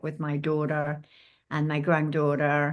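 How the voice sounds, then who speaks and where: A woman with an English accent speaks at a moderate pace against a quiet background. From England. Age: 80s+. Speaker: former hotel housekeeper and ageism activist. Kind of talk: podcast interview. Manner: halting.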